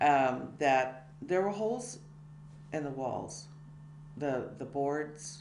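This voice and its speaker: A woman's very deep, low pitch in a Californian accent, very slow pace and ordinary pitch variation, with audible room echo and noticeable background noise. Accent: Californian American. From California, USA (Tracy area). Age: 70s. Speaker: biography interviewee. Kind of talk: life-story interview. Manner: halting, many fillers.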